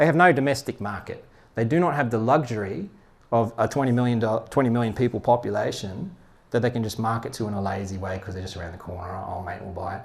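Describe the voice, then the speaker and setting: A man's somewhat breathy, medium-pitched voice with an Australian accent, very fast in pace, with big swings in loudness, on a very clean recording with a silent background. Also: lively intonation. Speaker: head of product, speaker. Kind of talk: talk at meetup.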